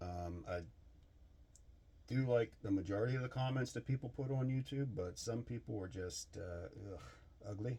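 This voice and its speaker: This man has a dark, mellow, somewhat breathy tone at a medium pitch, with ordinary pitch variation. He talks at a moderate pace with long, frequent pauses. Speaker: machinist / engine builder YouTuber. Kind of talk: casual workshop vlog talk. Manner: halting.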